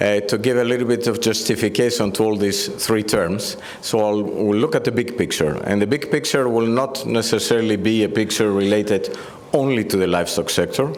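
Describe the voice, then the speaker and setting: With a Greek accent, a man talks at a fairly quick pace, at a medium pitch with ordinary pitch variation and very even loudness. Noticeable background noise and audible room echo fill the recording. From Greece, Athens. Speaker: EU agriculture policy director. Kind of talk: conference speech.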